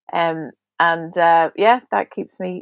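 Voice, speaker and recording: Recorded dry and close with no echo against a quiet background, a woman with a fairly low voice speaks with ordinary pitch variation in a Belfast accent. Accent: Belfast Northern Irish. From Northern Ireland, Belfast. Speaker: national director of a prayer ministry. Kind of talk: podcast interview. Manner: halting.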